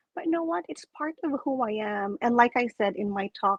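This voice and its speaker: Against a quiet background, a woman with a Filipino accent speaks at a fairly slow pace with lively intonation, in a dry, close sound with no echo. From Philippines. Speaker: coach and public speaker, club president. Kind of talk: casual interview. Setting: live stream video call. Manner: animated.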